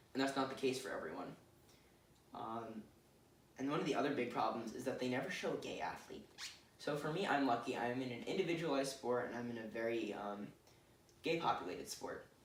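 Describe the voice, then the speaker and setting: Ordinary in pitch variation, a man's fairly quick speech is broken by long, frequent pauses, with audible room echo and noticeable background noise. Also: medium pitch for a man. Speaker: student presenter. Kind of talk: presentation. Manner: hesitant fillers.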